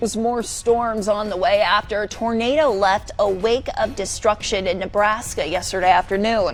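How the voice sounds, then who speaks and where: Over music in the background, a woman with a fairly high voice talks with hardly any pauses. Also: ordinary pitch variation, moderate pace. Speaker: TV news reporter and anchor. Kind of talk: TV news anchor read.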